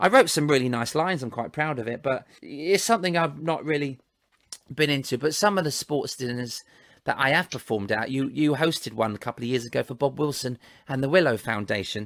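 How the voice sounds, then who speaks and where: Talking at a fairly quick pace, a man has an ordinary speaking voice, fairly high in pitch, with ordinary pitch variation. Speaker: ventriloquist. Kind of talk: casual storytelling in conversation.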